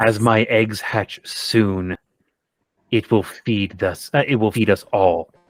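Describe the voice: Growling in a put-on character voice, a man speaks at a medium pitch and a fairly slow pace.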